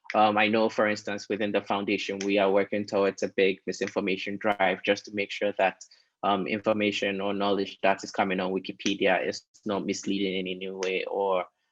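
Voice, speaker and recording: Flat and monotone, a man speaks at a fairly low pitch and a fairly quick pace. The sound is dry and close with no echo. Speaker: Wikipedia foundation staff panelist. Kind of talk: webinar panel discussion. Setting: online webinar. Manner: hesitant, many fillers.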